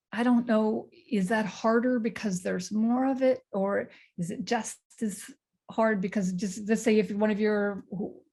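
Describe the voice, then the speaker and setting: A woman with a dark, mellow tone and a fairly high pitch sounds somewhat breathy, her intonation fairly even at a moderate pace. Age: 60s. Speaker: panelist. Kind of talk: casual chat.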